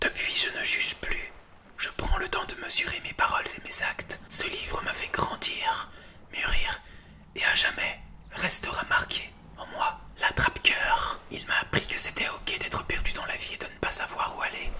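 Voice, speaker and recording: Over noticeable background noise, the man's whispering comes at a fairly slow pace. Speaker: booktuber. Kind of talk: ASMR reading of subscribers' testimonies. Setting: home recording, bedroom. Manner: soft-spoken.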